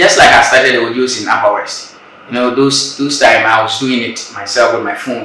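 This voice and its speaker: A man with a Ghanaian accent speaks at a moderate pace and a medium pitch, his intonation flat and monotone, over noticeable background noise. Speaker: spoken word artist. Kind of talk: interview answer.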